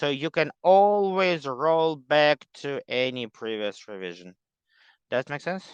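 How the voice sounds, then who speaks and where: In a dry, close sound with no echo and a quiet background, a man with a non-native accent speaks in a fairly high voice with very wide pitch swings. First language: not English. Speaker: workshop teacher. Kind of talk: online class meeting. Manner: halting, many fillers.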